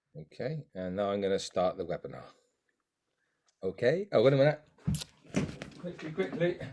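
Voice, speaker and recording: A man speaks at a fairly high pitch in a dark, mellow tone with vocal fry. His pitch makes very wide swings, and he leaves long, frequent pauses. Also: moderate pace. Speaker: webinar host. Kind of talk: interview questions in webinar.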